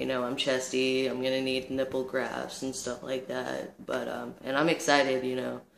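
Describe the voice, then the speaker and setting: A man speaks at a moderate pace in a medium pitch, with a flat, monotone intonation, hardly any pauses, and noticeable background noise. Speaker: vlogger. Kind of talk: casual vlog monologue. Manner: halting, many fillers.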